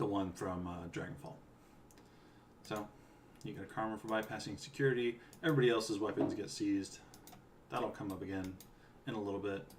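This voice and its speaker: With an American accent, a somewhat breathy man of fairly low pitch talks at a fairly quick pace with ordinary pitch variation, long, frequent pauses and audible room echo. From US West Coast, California. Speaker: game writer streaming a playthrough. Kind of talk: casual live-stream commentary. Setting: live stream at home. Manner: relaxed, with frequent fillers.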